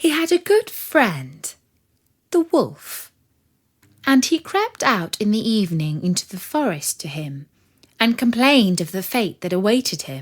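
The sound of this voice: A woman speaks at a fairly slow pace, her medium pitch carrying a slightly husky edge and big pitch swings. The recording is very clean, with a silent background.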